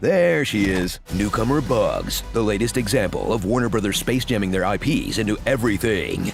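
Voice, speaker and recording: A man's voice at a moderate pace with hardly any pauses and very even loudness, with music in the background. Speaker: voice actor. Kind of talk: movie trailer parody narration.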